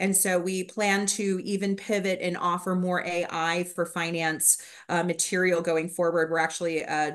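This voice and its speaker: A woman speaks at a moderate pace. The background is quiet. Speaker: graduate program administrator. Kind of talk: informational presentation. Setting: video call. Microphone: video call.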